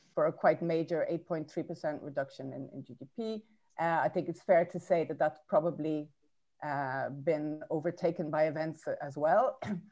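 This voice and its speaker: In an Irish accent, a woman talks at a moderate pace with a very deep, low pitch, a dark, mellow tone and big swings in loudness. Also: ordinary pitch variation. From Ireland. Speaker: academic speaker on trade policy. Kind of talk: conference talk. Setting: webinar. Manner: hesitant, many fillers.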